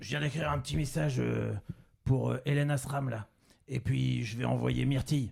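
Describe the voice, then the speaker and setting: A man speaks at a moderate pace in a put-on character voice that is raspy and sits at a medium pitch. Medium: actual play.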